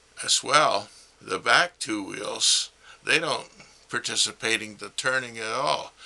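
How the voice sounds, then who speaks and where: A man talks at a fairly slow pace with big swings in loudness over noticeable background noise. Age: 80s+. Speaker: retired mechanic and amateur car inventor. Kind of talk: explanatory monologue.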